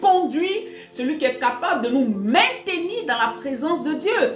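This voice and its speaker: A woman speaks with a high pitch at a fairly slow pace. Faint music plays behind her, and room echo is audible. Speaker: preacher. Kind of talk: sermon. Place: home room. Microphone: phone near.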